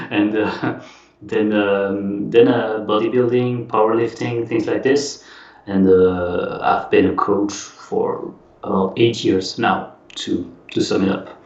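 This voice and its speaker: A man talks at a very slow pace in a French accent. Noticeable background noise and audible room echo fill the recording. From French-speaking Switzerland. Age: 30s. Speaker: exercise physiologist and fitness coach. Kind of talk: casual interview chat. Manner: hesitant, many fillers.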